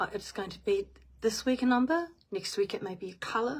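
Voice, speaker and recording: Speaking with a New Zealand accent, a woman sounds somewhat breathy, her intonation lively. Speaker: spiritual medium. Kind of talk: guided meditation; casual live stream chat. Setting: live stream.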